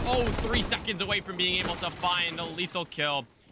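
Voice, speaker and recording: Speech at a fairly quick clip, with noticeable noise behind it. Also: man. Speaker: esports caster. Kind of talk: live commentary. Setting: live stream. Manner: fast; animated.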